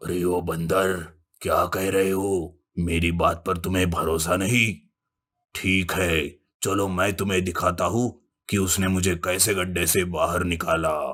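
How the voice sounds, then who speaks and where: In a cartoonish character voice, a man growls out very deep, low, raspy lines. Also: fairly slow pace. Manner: gloating, laughs at own schemes.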